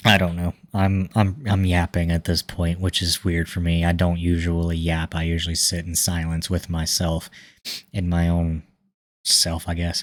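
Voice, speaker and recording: Very deep, low male voice in a flat monotone at a moderate pace, dry and close with no echo. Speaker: tech YouTuber. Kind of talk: casual monologue to camera. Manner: halting, many filler words.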